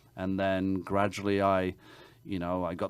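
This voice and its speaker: At a moderate pace, a man with a very deep, low voice speaks in a flat monotone, captured in a very clean recording with a silent background. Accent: English. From England. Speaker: realtor. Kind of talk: interview answer.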